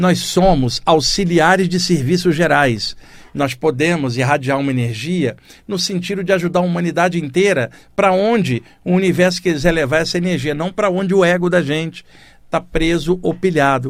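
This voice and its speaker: With ordinary pitch variation, a man talks in a high voice at a moderate rate. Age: 60s. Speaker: radio host, spiritualist teacher. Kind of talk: spiritual talk on radio. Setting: radio studio. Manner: conversational.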